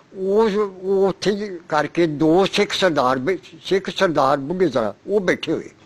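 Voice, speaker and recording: This man talks at a high pitch with ordinary pitch variation, very even loudness and hardly any pauses. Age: 80s+. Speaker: partition survivor. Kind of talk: oral history interview. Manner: halting.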